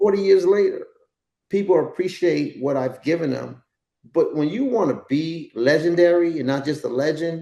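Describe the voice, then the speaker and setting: A man with a New York accent speaks at high pitch in a dark, mellow tone with ordinary pitch variation. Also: moderate pace. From New York, the Bronx. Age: 60s. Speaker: dancer and actor. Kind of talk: casual chat.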